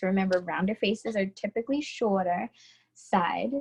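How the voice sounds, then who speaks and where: A woman with a strong New York accent, somewhat breathy, in a dry, close sound with no echo. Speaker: beauty instructor. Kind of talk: tutorial.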